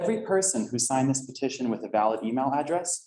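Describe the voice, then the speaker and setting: A man speaks with an American accent at medium pitch. He has a normal speaking voice and a fairly quick pace. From northern New Jersey, US. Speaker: resident speaking at public comment. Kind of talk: public comment at council meeting. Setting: council meeting room with audience.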